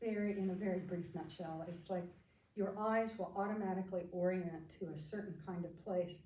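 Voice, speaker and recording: Monotone, flat delivery in an American accent, with audible room echo. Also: woman, medium pitch for a woman, moderate pace. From US Midwest (Kansas Flint Hills farm). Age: 80s+. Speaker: psychotherapist. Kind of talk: life story talk.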